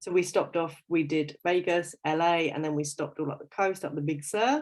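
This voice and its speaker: Against a quiet background, a woman talks at a fairly low pitch. She has an English accent. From London, England. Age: 30s. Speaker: fitness coach. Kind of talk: casual livestream interview. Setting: Facebook live video.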